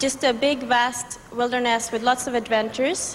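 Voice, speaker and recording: Noticeable background noise runs behind the speech. The pace is moderate. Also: woman. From Sweden. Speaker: beauty pageant contestant. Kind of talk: interview.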